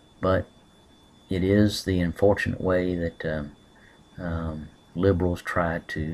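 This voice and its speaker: With a Southern US accent, a man speaks in a very deep, low voice and a flat monotone. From US South. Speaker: political commentator. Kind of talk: webcam monologue. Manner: hesitant, many fillers.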